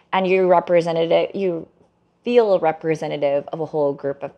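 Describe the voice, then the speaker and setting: A woman's unremarkable speaking voice, fairly low in pitch, with an American accent, a moderate pace and fairly even intonation. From US Mid-Atlantic. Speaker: book editor and co-author. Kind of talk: interview conversation. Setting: video call.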